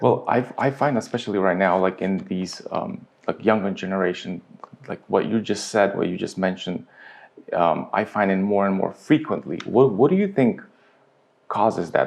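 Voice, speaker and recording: Pausing long and often, a man talks at a moderate pace in a fairly low pitch with ordinary pitch variation. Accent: American. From Ukraine, came to US as a child. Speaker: interviewer, video host. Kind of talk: interview conversation.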